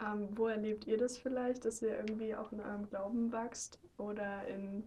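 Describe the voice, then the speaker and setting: A woman speaks with a fairly high pitch and a somewhat breathy tone. Her intonation is monotone and flat, and her pace is moderate. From Germany. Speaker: intern, interviewer. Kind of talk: casual interview.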